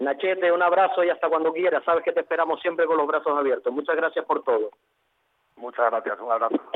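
Speaking at a very fast pace, a man uses a high voice with ordinary pitch variation and very even loudness. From Galicia. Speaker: restaurant owner. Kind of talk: radio interview.

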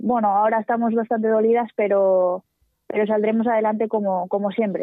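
A woman with a fairly high pitch speaks in a monotone, flat intonation at very even loudness. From Asturias, Spain. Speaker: professional footballer. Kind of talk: radio interview.

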